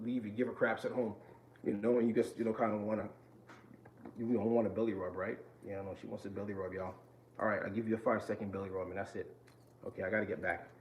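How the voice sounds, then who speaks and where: Over noticeable background noise, a man with an American accent and a fairly low voice talks at a very fast pace in a flat monotone, with long, frequent pauses. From New York. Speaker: vlogger sharing mental health experience. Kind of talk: casual vlog talk to viewers. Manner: fast-talking.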